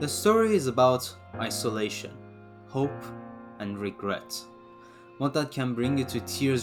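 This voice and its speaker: Over music in the background, a speaker with a non-native accent talks at a moderate pace. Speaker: manga reviewer. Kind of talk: video essay review narration.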